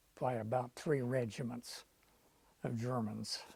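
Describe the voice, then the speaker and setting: With an American accent, a man speaks at a very slow pace in a somewhat breathy voice. His tone is dark and mellow, and his pitch is medium. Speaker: war veteran. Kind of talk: oral history interview answer.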